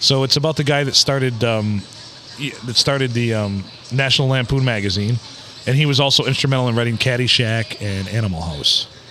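A man with a medium-pitched voice speaks at a fairly quick pace with ordinary pitch variation over music in the background. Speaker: podcast co-host. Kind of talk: casual chat.

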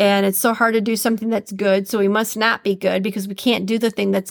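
Her tone warm and upbeat, a woman speaks with a medium pitch. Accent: Minnesotan. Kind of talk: podcast monologue with quote reading. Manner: warm, upbeat, conversational.

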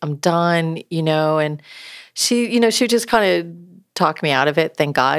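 With an American accent and a normal speaking voice, a woman talks at a fairly low pitch and a moderate pace with lively intonation, on a very clean recording with a silent background. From upstate New York. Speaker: entrepreneur and speaker. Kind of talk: interview.

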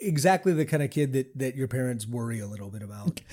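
With an American accent, a man talks at a very fast pace in a medium pitch, his dark, mellow tone somewhat breathy. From US, Baltimore, Maryland. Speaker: film director and editor. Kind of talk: interview.

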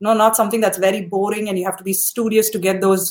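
Delivered at a fairly quick pace, this is an unremarkable speaking voice. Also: woman. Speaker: podcast host. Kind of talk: casual interview.

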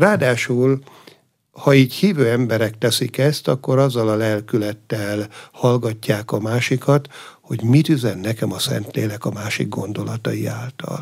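Here is a man with a plain, everyday voice. His medium pitch has ordinary pitch variation, and his pace is fairly slow. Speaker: abbot. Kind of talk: radio interview. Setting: studio.

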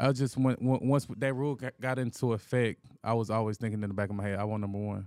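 With a Southern US accent, the man rattles along at a very fast pace, his pitch medium and his intonation fairly even. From Anniston, Alabama. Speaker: professional football player. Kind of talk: casual interview.

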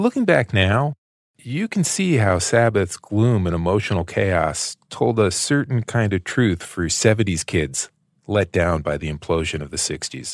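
With an American accent, a man talks at a fairly slow pace in an unremarkable speaking voice, fairly low in pitch, with lively intonation and a dry, close sound with no echo. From United States. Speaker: podcast host and interviewer. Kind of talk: scripted narration mixed with interview.

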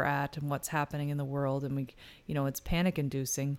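On a very clean recording with a silent background, a woman speaks in a Canadian Maritime accent. Her pitch is very deep and low. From New Brunswick, Canada.

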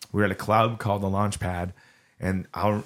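Fairly low-pitched man with a Southern Californian accent and monotone, flat intonation. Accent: Southern California American. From Southern California (Orange County). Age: 40s. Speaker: punk singer. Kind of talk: casual chat.

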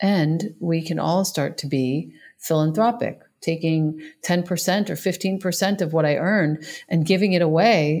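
The recording is very clean, with a silent background. An ordinary speaking voice, with ordinary pitch variation, moves at a fairly slow pace. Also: woman. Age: 40s. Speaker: yoga and meditation teacher. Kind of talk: casual chat.

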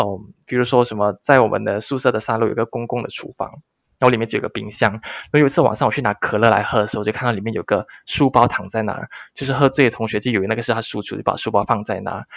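Medium-pitched, a man talks at a very fast pace with fairly even intonation. The sound is dry and close, with no echo. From Malaysia. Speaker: content creator, former expat engineer. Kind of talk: interview. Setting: remote call.

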